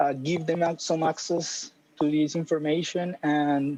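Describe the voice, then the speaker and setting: A man with a Spanish accent speaks at a fairly slow pace in a dark, mellow tone. His intonation is monotone and flat. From Colombia. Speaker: creative coding instructor. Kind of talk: panel discussion.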